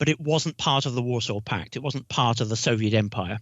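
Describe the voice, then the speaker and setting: With a British accent, a man speaks using lively intonation. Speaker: retired diplomat. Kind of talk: interview.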